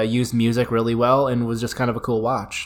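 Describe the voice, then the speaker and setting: This is a man speaking at a medium pitch. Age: 20s. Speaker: podcast host reviewing horror movies. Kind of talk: casual chat.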